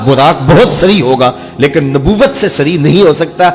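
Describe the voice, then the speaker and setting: There is noticeable background noise as a man speaks in a passionate tone with ordinary pitch variation. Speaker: Islamic scholar giving a religious sermon. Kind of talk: religious sermon (bayan) on the Miraj. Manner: passionate, emphatic preaching delivery.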